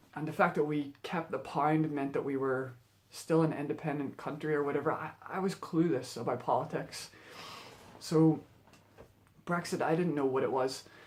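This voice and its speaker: Over noticeable background noise, a man with a Northern Irish accent talks at a moderate pace in a fairly high pitch. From Northern Ireland. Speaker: vlogger. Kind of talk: casual monologue vlog. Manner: halting, many fillers.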